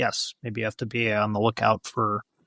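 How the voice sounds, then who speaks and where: In a very clean recording with a silent background and a dry, close sound with no echo, a man speaks fairly quickly in an American accent. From United States. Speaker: watch journalist and podcast host. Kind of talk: podcast interview answer.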